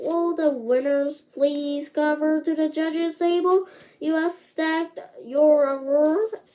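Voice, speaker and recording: A woman puts on a character voice with a high pitch. Her pace is fairly slow. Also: ordinary pitch variation. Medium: read story. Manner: formal, announcing.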